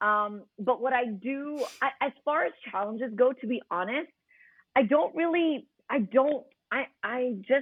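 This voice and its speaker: A woman with an American accent speaks in a high pitch at a fairly slow pace. Her intonation is lively. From New York City, Queens. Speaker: radio host. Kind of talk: podcast interview.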